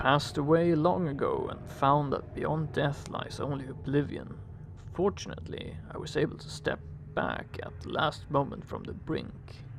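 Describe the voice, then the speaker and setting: In a booming, resonant put-on character voice, a man speaks at a moderate pace over clear background noise. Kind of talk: solemn ecclesiastical pronouncement. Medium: game stream. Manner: archaic, formal speech.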